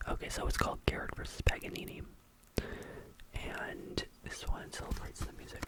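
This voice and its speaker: A man whispers and mumbles in a relaxed tone over noticeable background noise. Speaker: ASMR content creator. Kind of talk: ASMR rambling talk to camera. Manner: mumbling, relaxed.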